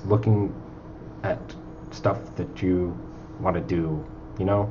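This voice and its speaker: A man mumbles amid noticeable background noise. The room gives an audible echo. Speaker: indie video game developer. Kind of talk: casual chat. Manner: halting; mumbling.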